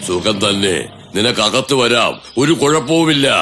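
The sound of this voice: Over clear background noise, a man puts on a cartoonish character voice at a medium pitch, speaking at a fairly slow pace.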